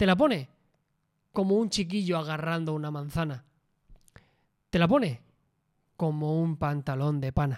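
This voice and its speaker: A man speaks fairly slowly at a fairly high pitch, with ordinary pitch variation. Long, frequent pauses break up his speech. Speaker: travel podcast co-host. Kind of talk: casual chat.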